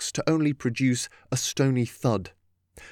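A natural reading voice, fairly even in intonation, is heard against a quiet background.

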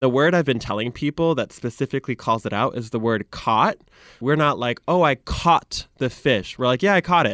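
A man with a Michigan accent speaks at a moderate pace with a medium pitch and lively intonation. The recording is very clean with a silent background and a dry, close sound with no echo. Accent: Michigan (Great Lakes) American. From US Midwest. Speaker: social media content creator. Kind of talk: interview. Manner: animated.

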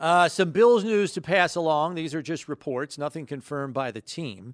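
On a very clean recording with a silent background and a dry, close sound with no echo, a man with an unremarkable speaking voice talks at a moderate pace, fairly high in pitch, with lively intonation. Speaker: sports radio host. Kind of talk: sports radio talk show hosting. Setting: studio.

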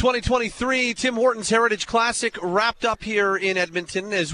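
At a moderate pace, a man speaks in a raised, projected voice. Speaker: sports radio host. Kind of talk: postgame call-in show. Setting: studio.

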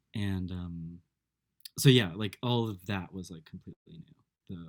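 A man with an American accent and a very deep, low pitch at a fairly slow pace, with long, frequent pauses, big swings in loudness and a dry, close sound with no echo. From United States. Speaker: podcast trainee. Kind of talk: casual chat; scripted narration.

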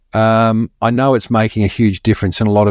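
In an Australian accent, a man with a fairly low pitch speaks at a fairly quick pace with fairly even intonation, in a dry, close sound with no echo against a quiet background. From Melbourne, Australia. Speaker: marketing podcast host. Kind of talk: casual interview chat.

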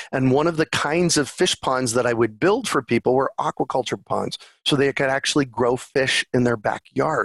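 A man talks in a plain, everyday voice at medium pitch, with ordinary pitch variation, very even loudness, and hardly any pauses. The recording is very clean with a silent background and a dry, close sound with no echo. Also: moderate pace. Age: 50s. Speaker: urban farmer and permaculture advocate. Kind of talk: interview.

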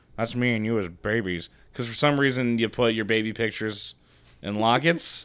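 On a very clean recording with a silent background, a man has a normal speaking voice, a medium pitch, ordinary pitch variation and a moderate pace. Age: 20s. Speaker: podcast co-host. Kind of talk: casual chat.

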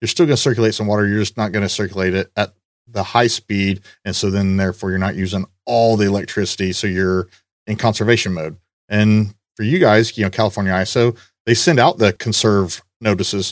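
A man talks at a fairly quick pace in a plain, everyday voice, fairly low in pitch with fairly even intonation. The sound is dry and close with no echo, and the recording is very clean against a silent background. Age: 40s. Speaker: podcast host. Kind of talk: casual chat.

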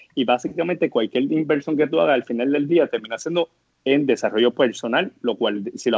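A man's speech moves fairly quickly, with ordinary pitch variation. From Puerto Rico, Guayama area. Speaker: startup co-founder. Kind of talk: interview conversation. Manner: hesitant, many fillers.

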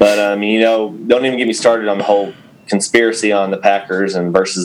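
This voice moves at a fairly quick pace in a West Texas accent. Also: man. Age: 30s. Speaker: farmer and podcast co-host. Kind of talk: casual chat.

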